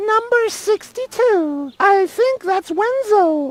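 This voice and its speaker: An extremely high, squeaky put-on character voice. It moves at a very slow pace. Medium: video game. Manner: dry, officious, sarcastic.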